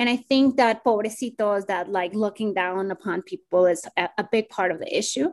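A woman with a Spanish accent, medium pitch, ordinary pitch variation, a moderate pace, hardly any pauses, and a quiet background. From Colombia, Bogota. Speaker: community organizer. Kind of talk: podcast interview.

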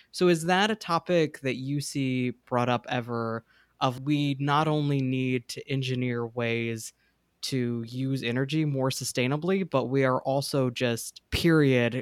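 In a dry, close recording with no echo, a man of medium pitch has an unremarkable speaking voice, a fairly slow pace and fairly even intonation. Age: 20s. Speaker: podcast host, entomologist. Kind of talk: casual interview.

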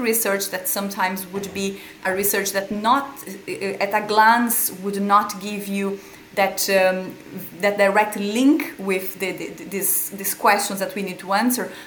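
A woman with a Portuguese accent at a medium pitch and moderate pace, her loudness swinging widely, over noticeable background noise. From Brazil. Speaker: epilepsy researcher and pharmacy lecturer. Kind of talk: interview. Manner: halting, with frequent repetitions.

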